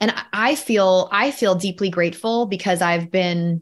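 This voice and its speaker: A woman talks at a fairly slow pace in an ordinary speaking voice, her pitch fairly low with ordinary pitch variation. The recording is very clean, with a silent background. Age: 30s. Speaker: filmmaker and storytelling coach. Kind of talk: casual interview chat.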